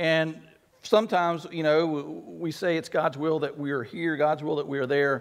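A man speaks at a fairly quick pace. Behind him, all is quiet. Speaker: pastor. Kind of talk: sermon. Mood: earnest, reflective. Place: church. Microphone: headset.

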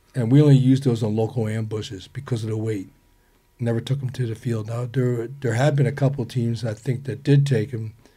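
Against a quiet background, a man talks at a medium pitch with fairly even intonation. His tone is dark and mellow, and somewhat breathy. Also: fairly quick pace. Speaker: Vietnam war veteran. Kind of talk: casual chat. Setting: studio. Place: studio. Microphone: studio mic.

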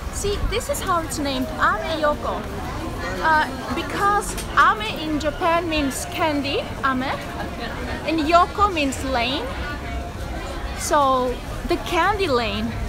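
A woman speaks in a raised, projected voice at a very slow pace with long, frequent pauses. Clear music plays in the background. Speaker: travel vlogger. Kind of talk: casual vlog chat. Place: market. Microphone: phone near.

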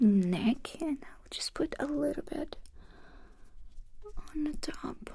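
Very slowly and with lively intonation, a woman speaks at a high pitch in a dark, mellow tone, her loudness swinging widely. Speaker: roleplay host. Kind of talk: soft personal-attention roleplay talk. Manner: soft, hushed close-mic ASMR voice. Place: home room.

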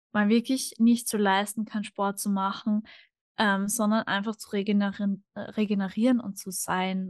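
Against a quiet background, a woman speaks with fairly even intonation in dry sound with no echo. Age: 20s. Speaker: podcast guest. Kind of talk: casual interview conversation. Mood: calm, reflective. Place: home room. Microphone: studio mic.

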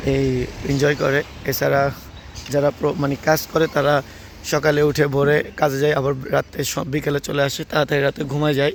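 Over noticeable background noise, a man speaks in a fairly high voice with monotone, flat intonation. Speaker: travel vlogger. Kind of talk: walking travel vlog narration. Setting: outdoors on a street. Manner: halting.

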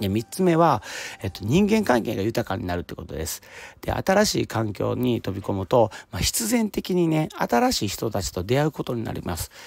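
A man talks at a moderate pace. His pitch moves up and down across a very wide range. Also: dry sound with no echo. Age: 40s. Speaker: podcaster, office worker; podcaster. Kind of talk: solo self-help talk. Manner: casual, many fillers. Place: open country.

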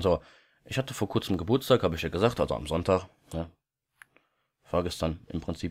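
Very deep and low in pitch, a man talks at a very fast pace with ordinary pitch variation on a very clean recording with a silent background. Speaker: YouTuber. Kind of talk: casual vlog monologue. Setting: home recording at night. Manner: quieter than usual; many filler sounds.

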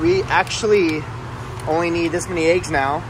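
This is a man speaking at a fairly high pitch. There is noticeable background noise. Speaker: lifestyle vlogger. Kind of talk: casual shopping vlog chat. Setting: in a store. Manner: casual and chatty. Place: shop. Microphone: phone near.

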